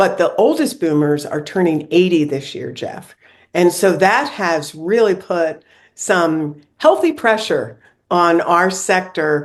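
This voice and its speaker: Very slow speech from a woman with a fairly low pitch and an American accent, over a quiet background. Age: 70s. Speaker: senior living consultant. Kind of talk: interview.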